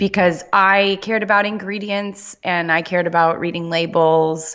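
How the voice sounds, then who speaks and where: A woman with an American accent, a moderate pace and fairly even intonation. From Southern California. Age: 30s. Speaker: holistic nutrition practitioner. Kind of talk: interview.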